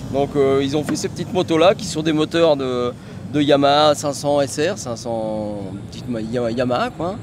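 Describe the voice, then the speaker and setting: A man talks at a moderate pace with a fairly high pitch and ordinary pitch variation. Noticeable background noise sits behind him. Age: 60s. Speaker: motorcycle racer. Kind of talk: interview. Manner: halting.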